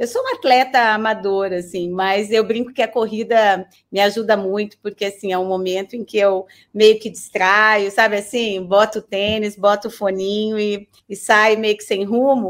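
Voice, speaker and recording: The woman's pitch is fairly high. She speaks at a moderate pace in a monotone, flat intonation. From northern Paraná, Brazil (Londrina). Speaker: university professor. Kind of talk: interview. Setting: online call.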